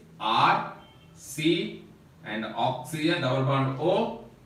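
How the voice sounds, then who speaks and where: Man speaking with audible room echo and noticeable noise in the background. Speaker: chemistry teacher. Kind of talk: lecture. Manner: slow, step-by-step.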